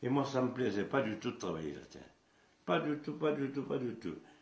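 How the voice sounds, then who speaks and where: A man talks with lively intonation in a space with audible room echo. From central France, Puy-de-Dôme. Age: 80s+. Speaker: traditional hurdy-gurdy musician. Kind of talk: interview, life story. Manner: halting, with repetitions.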